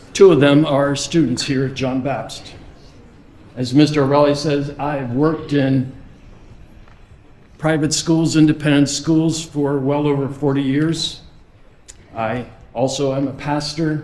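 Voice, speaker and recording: A man's fairly high voice, flat and monotone, with long, frequent pauses and audible room echo. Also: fairly slow pace. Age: 70s. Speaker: head of school. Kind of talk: speech. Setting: auditorium with audience.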